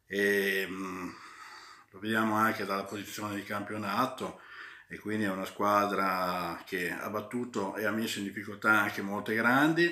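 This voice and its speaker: Room echo can be heard, though the background is quiet. The pace is fairly slow, with ordinary pitch variation. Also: man. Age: 40s. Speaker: football fan vlogger. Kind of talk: casual match commentary vlog. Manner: hesitant, many fillers. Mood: pleased, festive. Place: home room. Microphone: phone near.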